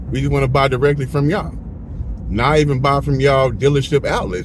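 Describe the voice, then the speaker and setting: Spoken at a very fast pace, this voice carries audible room echo over noticeable background noise. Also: man. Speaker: car rental business owner and podcast host. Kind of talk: casual chat. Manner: animated.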